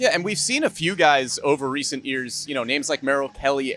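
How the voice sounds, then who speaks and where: Very fast and fairly high-pitched, a man with an American accent speaks with ordinary pitch variation in a dry, close sound with no echo. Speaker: sports broadcaster. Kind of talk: sports broadcast pre-game and post-game show hosting.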